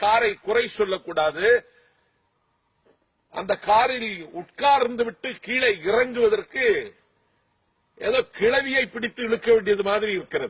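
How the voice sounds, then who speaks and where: A man's extremely high-pitched voice with ordinary pitch variation. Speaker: politician and orator. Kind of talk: casual talk to camera, interview answer, humorous anecdote.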